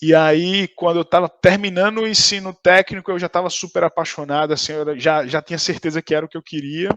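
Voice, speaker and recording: Heard in a dry, close sound with no echo, a man with a high pitch talks with hardly any pauses and fairly even intonation. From Brazil, Recife (Pernambuco). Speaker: tech account manager. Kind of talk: interview. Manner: casual, hesitant with many fillers.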